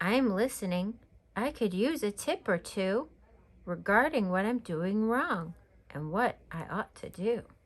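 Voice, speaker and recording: A woman's put-on character voice at a medium pitch and a fairly slow pace. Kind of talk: bedtime story. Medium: read story.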